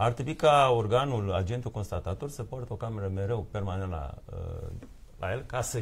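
A man talking at a fairly quick pace, somewhat breathy. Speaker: lawyer. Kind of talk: live TV studio debate. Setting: TV studio. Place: studio.

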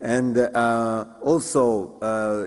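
The background is quiet. A man does the talking. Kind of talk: formal speech summarizing sessions. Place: hall. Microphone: podium.

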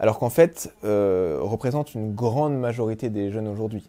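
A man's dark, mellow tone carries his speech at a moderate speed. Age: 20s. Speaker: documentary filmmaker, engineer. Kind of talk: interview monologue. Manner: hesitant, many filler sounds. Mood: warm, moved in places. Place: home room.

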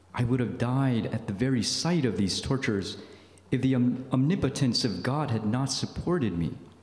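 A man's voice with audible room echo. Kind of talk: retreat talk, reading aloud. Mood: solemn, grave. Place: meeting room. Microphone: podium.

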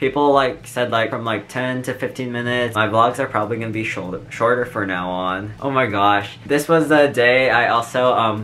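A man at a moderate pace, hardly any pauses, ordinary pitch variation, and light background noise. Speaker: vlogger. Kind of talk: casual vlog chat. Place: home room. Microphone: earbuds.

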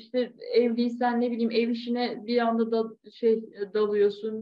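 A woman speaks in a high pitch. Her intonation is monotone and flat against a quiet background. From Turkey. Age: 30s. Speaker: yoga and aerial hammock instructor; aerial hammock instructor. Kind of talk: interview. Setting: video call. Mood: calm, reflective. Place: home room. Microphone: video call.

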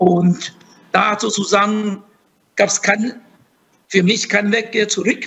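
The speech comes very slowly with long, frequent pauses, very even loudness and a flat, monotone intonation. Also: man, high pitch for a man. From Taiwan. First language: Mandarin Chinese (speaking German). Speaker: diplomat and professor; guest. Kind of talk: panel discussion; interview answer. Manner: halting, many repetitions and fillers. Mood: reflective, personal storytelling. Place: office. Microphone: video call.

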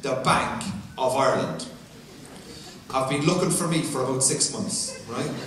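A man with an Irish accent at a moderate pace, ordinary pitch variation, light background noise and audible room echo. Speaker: stand-up comedian. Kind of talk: stand-up comedy routine. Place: stage.

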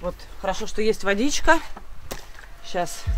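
A woman's very slow speech, with ordinary pitch variation. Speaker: vlogger. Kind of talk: casual vlog chat. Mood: playful, mildly grimacing. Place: garden. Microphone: phone near.

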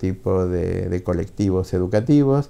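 This man's voice sits very deep and low. Its tone is dark and mellow. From Argentina. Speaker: book publisher. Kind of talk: interview monologue; interview answer. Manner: halting, with filler words. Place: office. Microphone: lapel.

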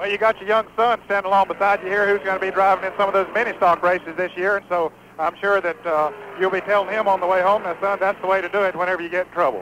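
Amid noticeable background noise, a man with a high voice races along at a very fast pace in a monotone, flat delivery, the sound dry with no echo. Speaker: race reporter. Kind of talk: interview questions. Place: stadium.

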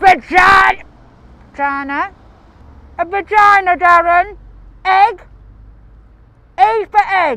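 Using a put-on character voice, a man speaks at an extremely high pitch and a fairly slow pace. He pauses often and at length. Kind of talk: character comedy monologue. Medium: stage.

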